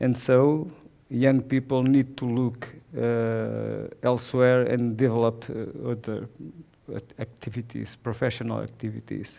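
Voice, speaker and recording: A man with a Portuguese accent speaks at a fairly slow pace and a medium pitch, in a dark, mellow tone with monotone, flat intonation. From southern Portugal. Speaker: watercolor painter. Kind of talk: presentation. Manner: halting.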